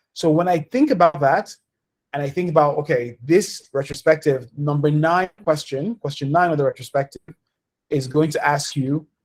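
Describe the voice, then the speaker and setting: Fairly high pitch from a male speaker, with ordinary pitch variation. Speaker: community organization leader hosting town hall. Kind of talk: online town hall presentation. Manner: fast.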